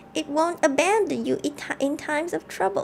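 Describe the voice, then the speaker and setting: A put-on character voice, female-sounding and high-pitched, at a fairly quick pace with clear background noise. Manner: witch-like, warning.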